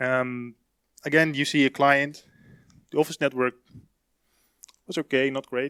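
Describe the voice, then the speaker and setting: A man talks in a monotone, flat intonation with a bright, sharp tone and long, frequent pauses, the sound dry and close with no echo. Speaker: security consultant. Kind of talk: conference talk. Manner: fast; hesitant, many fillers.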